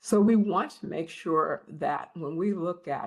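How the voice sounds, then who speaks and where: The voice belongs to a woman. Vocal fry runs through her speech. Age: 70s. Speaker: health expert speaker. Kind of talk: webinar talk. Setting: online webinar.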